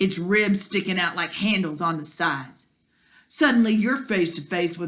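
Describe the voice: Over a quiet background, the plain reading aloud carries ordinary pitch variation.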